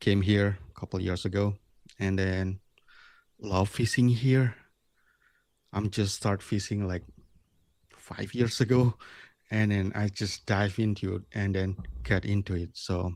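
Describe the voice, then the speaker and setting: With an Indonesian accent, a man speaks at a fairly slow pace in a fairly low pitch, his intonation fairly even and his pauses long and frequent. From Bali, Indonesia. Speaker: lure maker. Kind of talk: interview. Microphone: new microphone.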